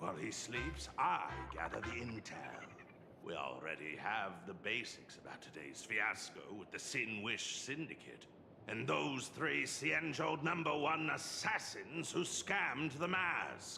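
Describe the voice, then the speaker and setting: A man does a put-on character voice at medium pitch and a fairly slow pace, with clear background noise behind him. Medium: video game. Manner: polite, deadpan.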